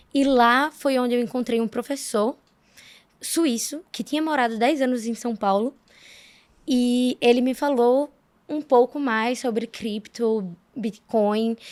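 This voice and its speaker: A woman's high-pitched voice at a very slow pace with fairly even intonation, dry and close with no echo, on a very clean recording with a silent background. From Brazil, Alagoas. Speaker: economist, crypto fund associate. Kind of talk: interview.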